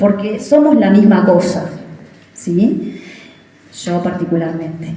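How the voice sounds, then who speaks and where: The delivery is very slow, with lively intonation. Noticeable background noise and audible room echo fill the recording. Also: woman, medium pitch for a woman. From Uruguay, Florida department (Villa 25 de Mayo). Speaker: teacher giving a local history talk. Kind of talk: public talk. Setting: community event with audience. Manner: conversational with many fillers.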